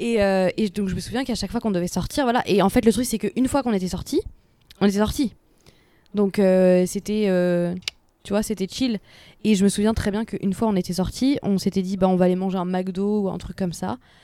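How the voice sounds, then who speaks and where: A woman's dark, mellow voice at medium pitch, fairly even in intonation and fairly quick in pace, on a very clean recording with a silent background. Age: 20s. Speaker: podcast co-host. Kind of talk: casual chat. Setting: outdoors at night.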